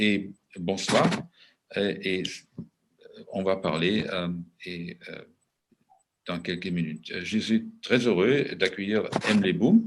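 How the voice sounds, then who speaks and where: With a German accent, a man with a fairly low pitch talks at a very slow pace, leaving long, frequent pauses, his intonation fairly even and his loudness swinging widely. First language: German (speaking French). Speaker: moderator and translator. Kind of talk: panel discussion moderation. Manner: slow, halting with many hesitations.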